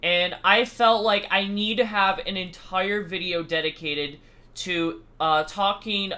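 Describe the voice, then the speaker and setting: A loud man speaks at a fairly slow pace. His pitch variation is ordinary. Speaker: YouTuber. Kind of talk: casual vlog talk. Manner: loud and clear.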